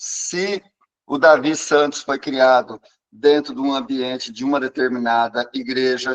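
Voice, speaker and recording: A man speaks at a fairly slow pace, with a medium pitch and fairly even intonation. It is an ordinary speaking voice, and the sound is dry and close with no echo. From Brazil, São Paulo state. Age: 60s. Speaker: psychologist. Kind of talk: interview talk.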